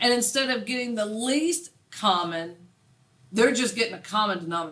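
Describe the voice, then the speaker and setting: A woman's loud, fairly high voice with a bright, sharp tone at a moderate pace, in a room with audible room echo. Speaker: math teacher. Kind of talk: classroom lecture. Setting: classroom with students. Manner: clear, easily heard.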